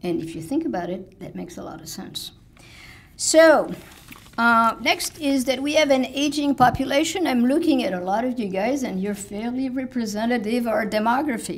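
A high-pitched woman's voice in a French accent at a moderate pace, with very wide pitch swings and big swings in loudness. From France. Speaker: village president. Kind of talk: speech. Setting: stage with audience. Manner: halting. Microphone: podium.

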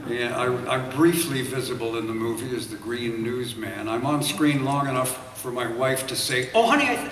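Amid light background noise and audible room echo, a man speaks at a moderate pace with fairly even intonation. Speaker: panelist. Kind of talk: panel anecdote. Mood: wry, self-deprecating. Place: hall.

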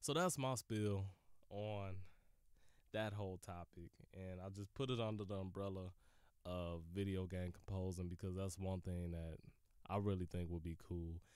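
A man speaks with a very deep, low pitch. He leaves long, frequent pauses. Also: fairly even intonation, moderate pace. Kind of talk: casual solo podcast monologue.

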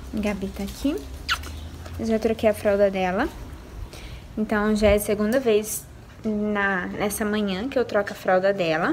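Long, frequent pauses break up a woman's fairly slow speech, which has fairly even intonation over light background noise. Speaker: mother vlogger. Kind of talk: casual vlog chat. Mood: calm, soft-spoken.

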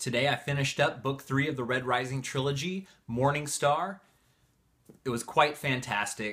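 Talking at a fairly quick pace, a man with a Northern California accent sounds bright and sharp. His tone is enthusiastic, and the background is quiet. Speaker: book reviewer, video creator. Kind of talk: casual vlog chat. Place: home room.

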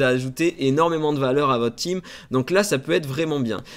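This man's pitch is fairly high and varies in an ordinary way. His pace is fairly quick. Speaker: gaming YouTuber; gaming content creator. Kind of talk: game news video. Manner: hesitant, many fillers. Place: home room.

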